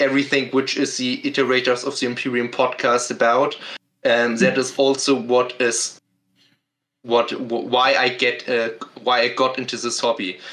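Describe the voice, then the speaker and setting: A man with a German accent speaks in a bright, sharp tone and a monotone, flat intonation. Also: medium pitch for a man, moderate pace. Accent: German accent, non-native English. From Germany. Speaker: podcast guest, book reviewer. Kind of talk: casual chat. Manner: halting, many fillers.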